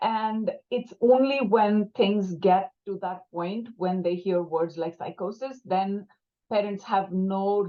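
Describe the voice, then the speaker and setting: In a Tamil accent, a woman talks at a medium pitch. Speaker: clinician working with young people and families. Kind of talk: panel discussion.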